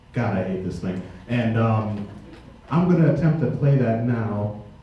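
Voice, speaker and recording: Against noticeable background noise and audible room echo, a man speaks fairly slowly with lively intonation. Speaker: pianist. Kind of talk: spoken introductions at a concert. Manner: halting, many fillers.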